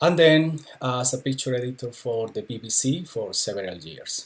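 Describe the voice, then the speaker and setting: A somewhat breathy man with a Colombian accent at a fairly slow pace. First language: Spanish. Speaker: travel and documentary photographer. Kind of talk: live online talk with slides. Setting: Facebook live stream. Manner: hesitant, many fillers.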